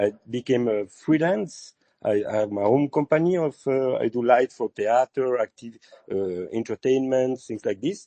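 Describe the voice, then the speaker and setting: A man's medium-pitched voice moves at a moderate speed, its pitch rising and falling in an ordinary way. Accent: French. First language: French. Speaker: lighting designer and artist. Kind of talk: casual chat. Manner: halting, many fillers.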